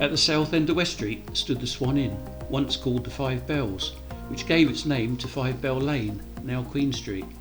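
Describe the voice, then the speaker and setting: Music in the background behind a man with a Kent accent at a moderate pace. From Deal, Kent, England. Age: 70s. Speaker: local historian. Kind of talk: documentary narration.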